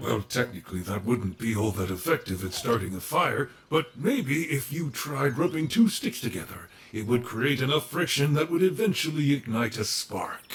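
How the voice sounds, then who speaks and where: Using a put-on character voice at a medium pitch, a man talks at a moderate pace with hardly any pauses, over light background noise. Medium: audio drama. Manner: polite, proper, pedantic.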